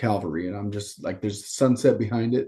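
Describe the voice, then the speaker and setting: A loud man's voice, fairly low and dark, mellow in tone, with fairly even intonation, a fairly quick pace, and a quiet background. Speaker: podcast guest, sports coach. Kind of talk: casual chat.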